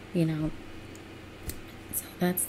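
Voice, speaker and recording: A soft-spoken woman whispers with an American accent over noticeable background noise. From United States. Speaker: ASMR creator. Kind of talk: casual encouraging commentary. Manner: soft, gentle whisper. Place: home room. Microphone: webcam.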